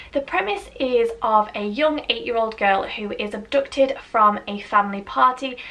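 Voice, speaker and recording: A woman with a British accent talks at a moderate pace with hardly any pauses, her fairly high voice showing ordinary pitch variation and big swings in loudness over noticeable background noise. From UK. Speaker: book reviewer. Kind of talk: casual talk to camera.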